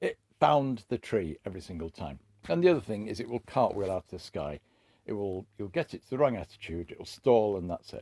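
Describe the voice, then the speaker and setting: A fairly low-pitched man with a British accent and a dark, mellow tone, fairly quick, with very wide pitch swings, big swings in loudness and a dry, close sound with no echo. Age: 70s. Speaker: hobbyist video maker. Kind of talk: casual show-and-tell talk. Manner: hesitant, many fillers.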